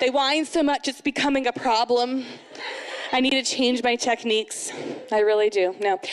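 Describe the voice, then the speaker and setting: A woman speaks in an animated tone at a fairly quick pace. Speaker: amateur stand-up comedian. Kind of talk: first-time stand-up comedy set at a moms' night event. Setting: stage with live audience. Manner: animated, acting out mom-life scenes with sighs and self-mocking asides; chatty and rambling, heavy with 'you know' and 'like' fillers. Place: stage. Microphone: handheld.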